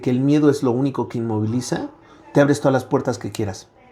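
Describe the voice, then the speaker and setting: A man speaks in a fairly high voice with a dark, mellow tone. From central Mexico, Toluca. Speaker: professor. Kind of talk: interview.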